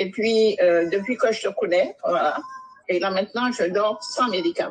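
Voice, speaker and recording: Using an ordinary speaking voice, a woman speaks at a fairly slow pace and a fairly high pitch. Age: 60s. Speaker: caller giving testimony. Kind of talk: testimony.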